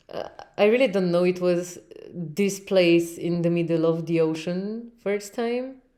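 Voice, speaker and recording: A woman with a Russian accent speaks fairly slowly at a fairly low pitch with ordinary pitch variation. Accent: Russian-sounding English (own words). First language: Romanian. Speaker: podcast host. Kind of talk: casual chat. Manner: halting.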